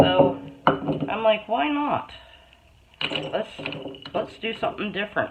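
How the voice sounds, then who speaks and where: Very slow speech broken by long, frequent pauses, over noticeable background noise. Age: 60s. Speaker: homesteader and canning vlogger. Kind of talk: casual tutorial. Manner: casual, with many filler ums.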